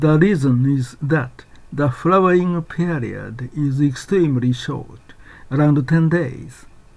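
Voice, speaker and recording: A man's fairly high voice at a very slow pace, with ordinary pitch variation. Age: 70s. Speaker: video essayist. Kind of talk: scripted narration.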